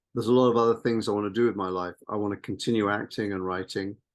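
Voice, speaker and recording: Against a quiet background, a man with a fairly low pitch speaks in a flat monotone. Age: 60s. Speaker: actor and screenwriter. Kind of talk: podcast interview.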